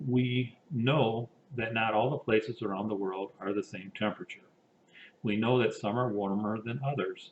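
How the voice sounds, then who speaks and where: A man speaks in a plain, everyday voice. His pitch is medium and his intonation fairly even. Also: moderate pace. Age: 60s. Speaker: engineer and climate initiative director. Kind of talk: pre-recorded presentation. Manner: formal.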